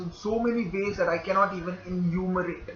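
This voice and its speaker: Noticeable background noise sits behind a man with a high pitch. He speaks at a fairly slow pace with fairly even intonation. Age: 20s. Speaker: internship applicant. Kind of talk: application video monologue.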